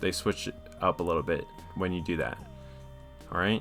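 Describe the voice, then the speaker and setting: Over a very clean recording with a silent background, a man with a very deep, low pitch and a bright, sharp tone talks at a moderate pace with fairly even intonation. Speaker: video game coach. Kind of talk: tutorial. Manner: casual, filler-heavy.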